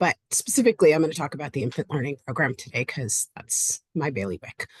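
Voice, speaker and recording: A woman's somewhat breathy, very deep, low voice at a very fast pace with very wide pitch swings, in a dry, close sound with no echo and a quiet background. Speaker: early intervention program representative. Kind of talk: presentation.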